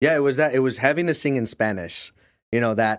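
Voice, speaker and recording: An unremarkable speaking voice carries lively intonation on a very clean recording with a silent background. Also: man. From Canada, Windsor, Ontario. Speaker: mortgage industry leader and minister. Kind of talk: interview conversation.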